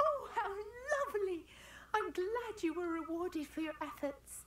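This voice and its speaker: A put-on character voice, female-sounding and squeaky, hits an extremely high pitch at a moderate pace. Clear background noise sits behind it. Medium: video game. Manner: warm, gentle.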